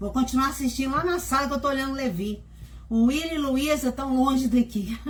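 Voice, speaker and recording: A high-pitched woman's voice at a fairly quick pace. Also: ordinary pitch variation. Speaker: host's wife. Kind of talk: casual message to viewers.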